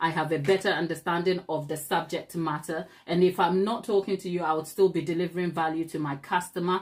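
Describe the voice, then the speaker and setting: Speech moves at a fairly quick pace with hardly any pauses. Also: woman, fairly low pitch for a woman. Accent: Ghanaian. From Ghana. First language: Ghanaian language (not English). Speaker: cake decorator and YouTuber. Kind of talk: live tutorial chat. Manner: animated.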